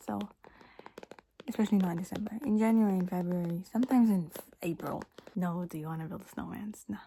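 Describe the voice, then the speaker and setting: The speaker is soft-spoken and talks at a very fast pace. Long, frequent pauses break up the speech. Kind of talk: ASMR soft-spoken rambling talk to camera. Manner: soft-spoken, rambling, chill, casual.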